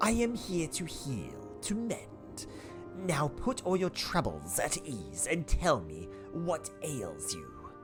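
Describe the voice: A man's put-on character voice at a very slow pace over clear music in the background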